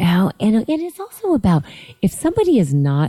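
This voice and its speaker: With an American accent, a woman talks in a dark, mellow tone that is somewhat breathy. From Southern California (Lancaster, desert). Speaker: network marketing entrepreneur. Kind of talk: casual chat.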